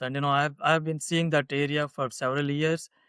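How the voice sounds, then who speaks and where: A man talks with an Indian accent over a quiet background. The sound is dry and close, without any echo. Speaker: political candidate. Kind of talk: interview. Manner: hesitant, many fillers.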